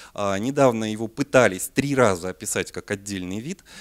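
A man talks with lively intonation at a moderate pace, the background quiet. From Siberia, Russia. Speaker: parasitology researcher and veterinary lecturer. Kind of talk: lecture. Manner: hesitant, many filler sounds. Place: hall.

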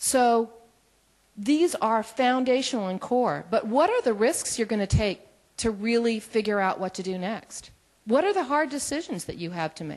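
Over a quiet background, a woman with an ordinary speaking voice talks at a moderate pace in a fairly high pitch. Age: 50s. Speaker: development professional; moderator asking questions. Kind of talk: audience question. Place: meeting room. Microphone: handheld.

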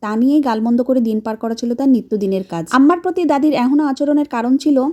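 Her voice high yet dark and mellow, a woman speaks with lively intonation. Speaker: storytelling vlogger. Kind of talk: scripted narration.

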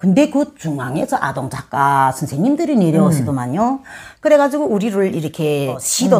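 This woman talks at a moderate pace, the background quiet. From North Korea, rural area. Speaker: North Korean defector, former kindergarten teacher; former kindergarten teacher. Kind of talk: interview, personal life story. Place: home room. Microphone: lapel.

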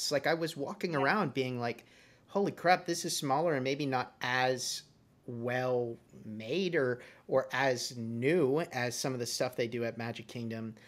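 A man speaks at a fairly slow pace with an American accent, medium pitch and ordinary pitch variation. He has an ordinary speaking voice, and the recording is very clean with a silent background. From Massachusetts, Boston area. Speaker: podcast host. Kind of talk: casual chat.

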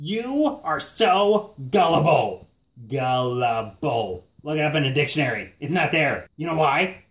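A man's fairly high voice with very wide pitch swings, at a fairly slow pace. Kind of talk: comic overacting. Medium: comedy sketch. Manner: belligerent, ranting, mocking, profane.

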